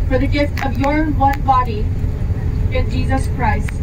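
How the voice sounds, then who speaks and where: A woman speaks while loud background noise fills the recording. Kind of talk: spoken prayer. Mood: calm, grateful. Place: bus. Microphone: pa.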